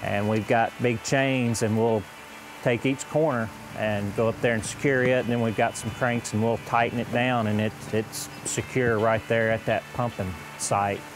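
A voice at a moderate pace with fairly even intonation, recorded dry with no echo but with noticeable background noise. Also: man. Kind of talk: interview answer. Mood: calm explanatory. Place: open country. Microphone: lapel.

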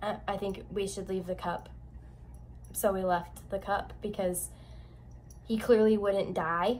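A woman speaks at a fairly slow pace over light background noise. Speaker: YouTuber. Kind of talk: casual vlog chat. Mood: animated storytelling. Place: home room. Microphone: phone near.

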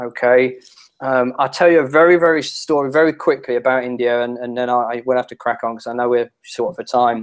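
With a London accent, a man talks at a fairly quick pace and with fairly even intonation. The background is quiet. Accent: English (London area). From England. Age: 30s. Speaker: internet marketing strategist; guest. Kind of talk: interview. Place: home room.

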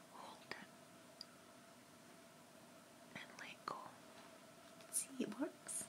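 A soft-spoken woman whispering at a very slow pace amid noticeable background noise. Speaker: makeup vlogger. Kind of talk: makeup tutorial, role-play style. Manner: soft, close ASMR whisper. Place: home room. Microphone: webcam.

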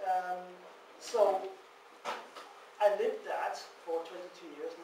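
A man talks at a very slow pace with long, frequent pauses, noticeable background noise and audible room echo. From Ireland. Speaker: ex-cult member and author. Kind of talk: public talk. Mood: sober, personal. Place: hall. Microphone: camera far.

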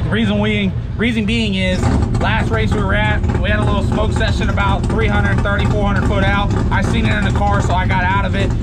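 A man speaking at a moderate pace over loud background noise. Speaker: drag racer vlogger. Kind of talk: casual vlog chat. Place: street. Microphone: phone near.

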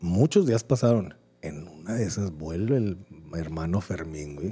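A man speaks fairly slowly with a very deep, low pitch and a dark, mellow tone. His voice is somewhat breathy, with lively intonation. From Mexico. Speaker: podcast co-host. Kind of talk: casual chat. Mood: relaxed, joking, slangy. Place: studio. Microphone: studio mic.

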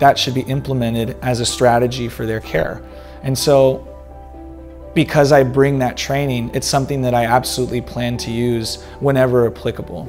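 An American-accented man speaks at a moderate pace. Faint music sits in the background. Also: medium pitch for a man, ordinary pitch variation. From Texas, San Antonio; Texas. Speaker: sports medicine doctor. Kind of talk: self-introduction. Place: studio. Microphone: lapel.

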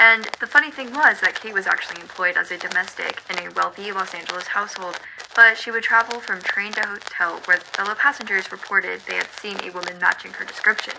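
A woman talks at a very fast pace with hardly any pauses and ordinary pitch variation. Noticeable background noise runs behind her. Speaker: vlogger. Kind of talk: history storytelling to camera. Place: home room.

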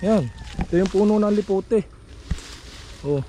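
The speech keeps a moderate pace. Noticeable background noise is heard throughout. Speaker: vlogger. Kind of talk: casual vlog narration outdoors. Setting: outdoors at a farm.

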